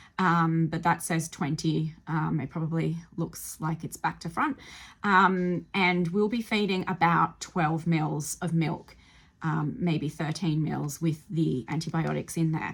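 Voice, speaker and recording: With an Australian accent, a woman speaks at a fairly slow pace in a fairly low pitch, with vocal fry and fairly even intonation. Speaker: animal rescuer. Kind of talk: tutorial. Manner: hesitant, many fillers.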